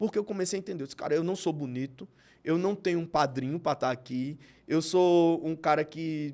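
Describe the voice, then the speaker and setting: A very fast, high-pitched man's voice with ordinary pitch variation, in a very clean recording with a silent background. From Brazilian Northeast. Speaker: TV presenter and advertising executive. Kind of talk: podcast interview.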